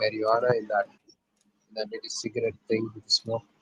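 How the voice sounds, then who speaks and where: A man with an Indian accent in a dry, close recording with no echo. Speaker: livestream co-host. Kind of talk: casual chat.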